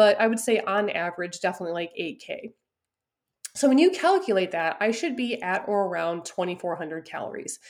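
A woman's animated, medium-pitched voice with lively intonation at a fairly quick pace. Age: 30s. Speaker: nutrition and fitness coach. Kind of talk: solo podcast monologue.

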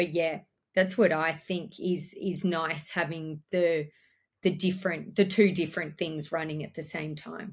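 Somewhat breathy and fairly low, a woman talks at a fairly slow pace with an Australian accent and monotone, flat intonation. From Australia, Orange, New South Wales. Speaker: business owner. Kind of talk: interview.

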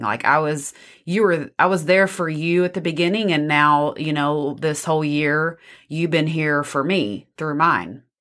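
The delivery moves at a moderate pace. Its intonation stays fairly even. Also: woman. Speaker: co-host, wife of the host. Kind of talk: casual podcast conversation.

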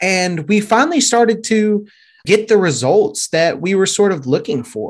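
In a Louisiana accent, a man with a high pitch speaks with lively intonation. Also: moderate pace. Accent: Southern US (Louisiana). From Shreveport, Louisiana. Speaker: SEO and YouTube expert, team member. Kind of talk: casual interview chat.

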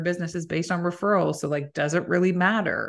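A woman with a Canadian accent talks in a normal speaking voice at a fairly quick pace, fairly low in pitch with fairly even intonation, against a quiet background. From Canada, Waterloo Ontario. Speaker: podcast host and recruitment founder. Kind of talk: casual interview chat.

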